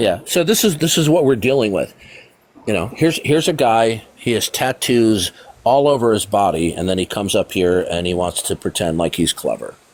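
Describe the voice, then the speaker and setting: Noticeable background noise sits behind a man's voice. He talks at a fairly quick pace with very wide pitch swings. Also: medium pitch for a man. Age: 60s. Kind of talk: live call-in debate. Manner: forceful.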